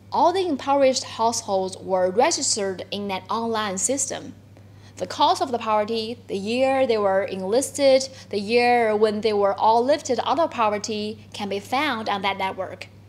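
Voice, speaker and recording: Speaking with a Chinese accent, a woman talks at a moderate pace and fairly high pitch, with ordinary pitch variation. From China. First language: Mandarin Chinese. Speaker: journalist. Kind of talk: webinar talk. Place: office.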